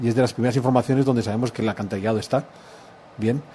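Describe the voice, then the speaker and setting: The speaker has a Spanish accent. Their intonation is fairly even. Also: man. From Spain. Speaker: historian. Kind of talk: interview.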